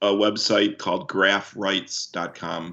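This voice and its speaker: His voice is fairly low for a man, delivered in a flat, monotone intonation. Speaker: commercial director and screenwriter. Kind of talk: casual chat. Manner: halting, repeats words.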